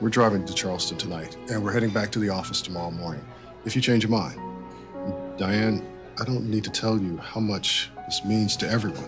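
Clear music plays in the background as a man speaks fairly quickly at a fairly low pitch with ordinary pitch variation. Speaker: actor. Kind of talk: film/TV drama scene. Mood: earnest, gently persuasive. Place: home room.

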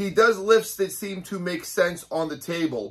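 Against a quiet background, a man speaks in a bright, sharp tone. He keeps a moderate pace. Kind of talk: casual vlog chat. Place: gym. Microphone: camera far.

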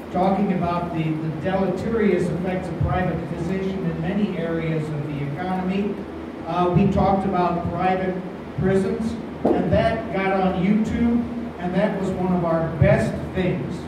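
Loud background noise and audible room echo surround a man talking at a moderate pace. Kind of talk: public talk to an audience. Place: hall. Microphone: camera far.

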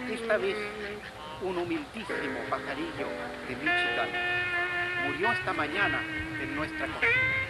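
A man talks at a fairly slow pace, leaving long, frequent pauses. Loud background noise runs underneath. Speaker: poet. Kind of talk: poetry reading. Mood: solemn, expressive. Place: waterside.

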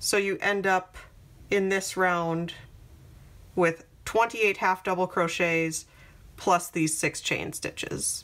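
Long, frequent pauses in a woman's very slow delivery. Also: fairly even intonation. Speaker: crochet tutorial creator. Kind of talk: tutorial.

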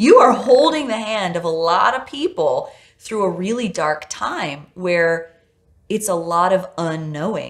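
A woman speaks at a fairly slow pace with lively intonation and a medium pitch, against a quiet background. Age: 30s. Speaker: podcast host. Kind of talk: interview conversation. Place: studio. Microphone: lapel.

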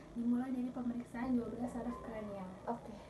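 Over noticeable background noise, a woman talks at a fairly quick clip in a high voice. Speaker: physiotherapy student. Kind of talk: clinical examination demonstration. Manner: instructional, patient-directed. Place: home room. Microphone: camera far.

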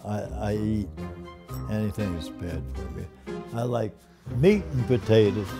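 A man speaks very slowly in a fairly low pitch, his pitch swinging very widely. Clear music plays in the background. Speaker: interviewee. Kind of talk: interview answer. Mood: relaxed, wry. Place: home room.

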